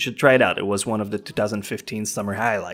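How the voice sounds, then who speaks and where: Over music in the background, a man with a French Canadian accent talks at a medium pitch. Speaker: anime reviewer. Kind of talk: casual countdown review voiceover.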